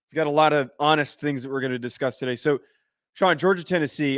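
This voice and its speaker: At a very fast pace, a man speaks in a fairly high pitch with fairly even intonation. The sound is dry and close, with no echo. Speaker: sports podcast host. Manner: loud, projects his voice.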